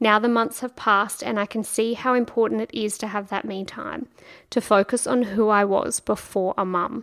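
Using ordinary pitch variation, a woman with an Australian accent talks at a moderate pace and fairly high pitch. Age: 30s. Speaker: podcast host. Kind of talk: scripted narration; casual chat. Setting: guest's kitchen at home.

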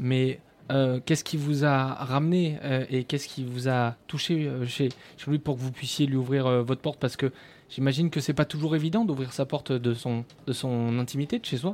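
In a plain, everyday voice, a man speaks at a medium pitch with fairly even intonation. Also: moderate pace. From Périgord, France. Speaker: radio host. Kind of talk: live radio show. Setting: studio.

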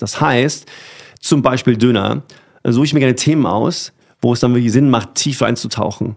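In a normal speaking voice, the man's medium-pitched speech runs at a fairly quick pace with ordinary pitch variation. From Germany, Rhineland-Palatinate (rural). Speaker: food blogger. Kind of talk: casual chat.

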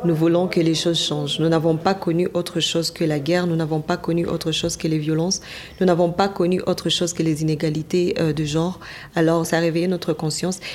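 Over noticeable background noise, a woman talks at a fairly quick pace in a fairly low pitch, her intonation monotone and flat and her loudness very even. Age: 20s. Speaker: journalist. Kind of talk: interview.

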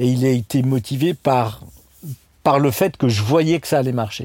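A man talks at a medium pitch with ordinary variation. His voice is somewhat breathy. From Alsace, France (Strasbourg). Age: 50s. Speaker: restaurant chain co-founder. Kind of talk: casual interview chat.

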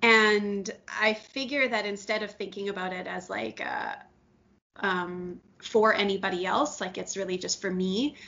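A woman with a normal speaking voice, medium pitch, fairly even intonation and a fairly slow pace. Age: 30s. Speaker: podcast co-host. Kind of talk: casual chat.

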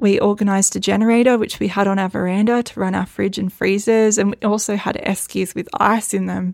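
A woman with an Australian accent, flat and monotone, at a fairly quick pace with hardly any pauses. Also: medium pitch for a woman. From Northern Rivers, New South Wales, Australia. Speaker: midwife and flood survivor. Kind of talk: personal storytelling monologue.

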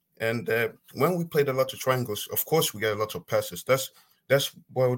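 A man with a non-native accent speaks at a fairly quick pace. His medium-pitched voice carries lively intonation. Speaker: football fan caller. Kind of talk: call-in football debate. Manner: halting.

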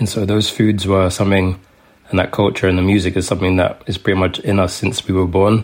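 With a London accent, a man speaks fairly quickly in a very deep, low voice and monotone, flat intonation. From London, England. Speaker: food writer. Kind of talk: interview.

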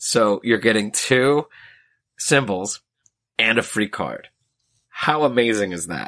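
A raspy, put-on character voice at a fairly slow pace, with long, frequent pauses and a dry, close sound with no echo. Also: man, medium pitch for a man. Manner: excited, enthusiastic.

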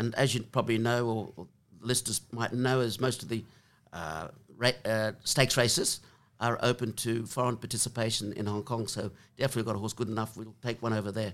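This man talks at a very fast pace with an Australian accent. His pitch is medium and his intonation fairly even. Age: 70s. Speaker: former jockey and racehorse trainer. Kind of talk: interview conversation. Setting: in person in the room. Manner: hesitant, many filler words.

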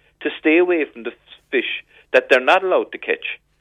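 A man speaks with a Cork accent. His pace is fairly quick. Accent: Irish, Cork. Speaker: fishing industry representative. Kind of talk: radio interview.

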